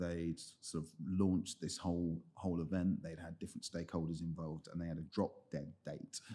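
A man speaks at a fairly quick pace in a very deep, low voice with a dark, mellow tone, his loudness swinging widely while his intonation stays monotone and flat. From south-east London, Lewisham. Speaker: head of product in tech. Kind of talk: interview.

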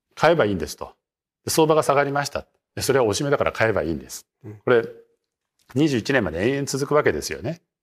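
Very fast yet broken by long, frequent pauses, a man's fairly high voice carries vocal fry, lively intonation and big swings in loudness. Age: 60s. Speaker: market strategist. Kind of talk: interview.

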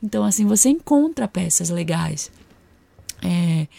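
The recording is very clean, with a silent background. A woman speaks quietly at a fairly slow pace, her somewhat breathy voice dark and mellow in tone. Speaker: podcast host and style consultant. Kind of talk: solo podcast monologue. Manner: getting quieter as voice fades.

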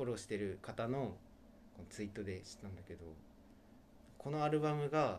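A man with a medium-pitched voice talks at a fairly quick pace, his loudness swinging widely, with long, frequent pauses and audible echo in the room. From Okinawa, Japan. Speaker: radio show co-host. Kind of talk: casual chat.

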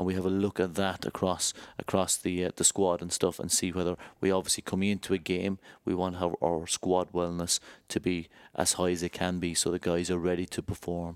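Very deep, low male pitch in a monotone, flat intonation at a fairly quick pace, with a dry, close sound, no echo, and a very clean recording over a silent background. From Ireland. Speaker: rugby club head of medical services. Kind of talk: interview.

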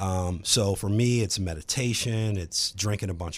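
This is an ordinary speaking voice from a man with an American accent and a fairly low pitch. He talks at a moderate pace on a very clean recording with a silent background. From Virginia, Charlottesville. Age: 40s. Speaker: real estate agent and author. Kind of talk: casual chat.

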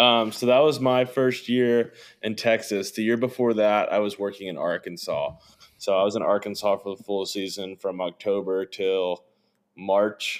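Talking at a moderate pace, a man with a Midwestern American accent has a fairly low pitch and fairly even intonation. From southern Indiana (Evansville). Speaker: hunting videographer. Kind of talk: casual interview.

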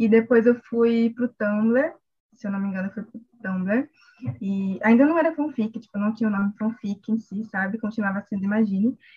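A woman speaks at a moderate pace with a fairly high pitch. Her tone is dark and mellow and somewhat breathy. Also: ordinary pitch variation. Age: 20s. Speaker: law student and fanfiction writer. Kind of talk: casual interview chat.

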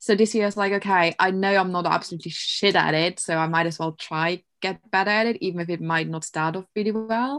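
A woman talks at a very fast pace with a German accent against a quiet background. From Germany. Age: 20s. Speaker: university student. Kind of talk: casual chat.

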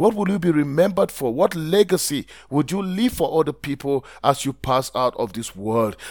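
A man speaks in a warm tone at a moderate pace, his pitch swinging very widely. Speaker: podcast host, blogging coach. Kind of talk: pep talk. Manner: earnest, motivational, direct address to listener; emphatic, rhetorical questions, warm and encouraging.

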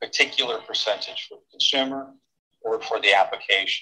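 In an American accent, the speaker keeps to a moderate speed. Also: man. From Pennsylvania. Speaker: hemp extract company founder, former forensic scientist. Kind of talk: interview.

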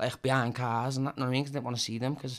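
The recording is very clean, with a silent background. A man speaks at a medium pitch with a Liverpool accent. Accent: Scouse (Liverpool). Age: 30s. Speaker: recovering addict. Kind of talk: casual interview chat. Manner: energetic.

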